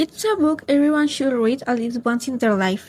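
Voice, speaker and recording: A woman with a Spanish accent speaks at a high pitch in a dark, mellow tone. Her pace is moderate and her pitch variation ordinary. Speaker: book vlogger. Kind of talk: casual book review vlog.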